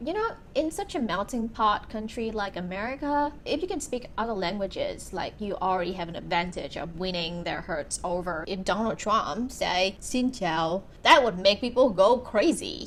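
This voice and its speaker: With a Vietnamese accent, a woman talks at a moderate pace. Her intonation is lively. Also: medium pitch for a woman. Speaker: YouTuber, documentary reviewer. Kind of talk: casual talk to camera.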